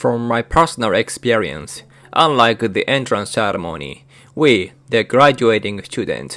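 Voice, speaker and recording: A man speaks at a fairly slow pace with a Japanese accent, medium pitch and vocal fry. His intonation is lively, and the recording is very clean with a silent background. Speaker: YouTuber sharing cultural experiences. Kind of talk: scripted narration.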